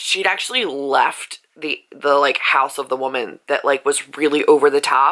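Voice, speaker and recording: Here a woman talks at a moderate pace. Her tone is bright and sharp. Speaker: book vlogger. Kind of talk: casual vlog. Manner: casual, filler-heavy.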